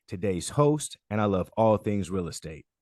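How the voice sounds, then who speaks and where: Against a quiet background, a man with a fairly low pitch and a dark, mellow tone talks at a moderate pace with lively intonation, the sound dry and close with no echo. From North Carolina. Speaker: podcast host. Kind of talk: podcast interview. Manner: enthusiastic.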